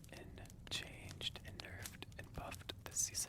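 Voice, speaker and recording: Someone whispers at a moderate pace. Noticeable background noise runs underneath. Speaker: gamer. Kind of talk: ASMR gaming commentary. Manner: whispered.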